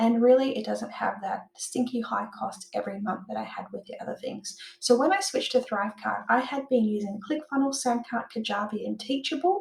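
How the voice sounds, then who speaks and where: A woman with an Australian accent at a fairly high pitch and fairly quick pace, hardly any pauses, lively intonation, big swings in loudness, vocal fry, and audible room echo. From Australia, Perth. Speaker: online business owner and software tutor; online course creator. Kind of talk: tutorial. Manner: casual with filler words. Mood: enthusiastic, friendly. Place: home room.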